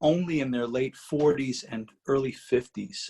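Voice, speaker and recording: Somewhat breathy, a man's voice moves along at a fairly slow pace. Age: 60s. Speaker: rock guitarist. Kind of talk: interview conversation. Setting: video call. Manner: halting.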